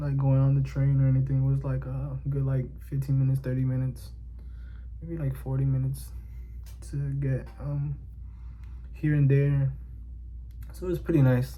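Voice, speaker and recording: A man with a very deep, low voice speaks at a moderate pace in a flat monotone, his dark, mellow tone broken by long, frequent pauses and carried on audible room echo. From New York City (Bronx/Inwood), Dominican family. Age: 20s. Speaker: vlogger. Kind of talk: casual personal monologue. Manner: halting, many fillers.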